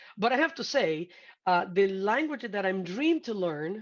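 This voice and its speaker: Speaking with a Brazilian Portuguese accent, a woman uses a medium pitch and very wide pitch swings. Her pace is fairly slow, and the background is quiet. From Brazil, Sao Paulo. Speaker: hospitality sales executive. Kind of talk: interview conversation. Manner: halting, many fillers.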